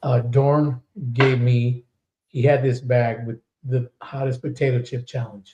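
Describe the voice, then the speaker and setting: The man's voice is somewhat breathy and dark and mellow in tone. He speaks fairly slowly with flat, monotone intonation. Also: medium pitch for a man. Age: 60s. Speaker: podcast host and metal singer. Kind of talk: casual chat.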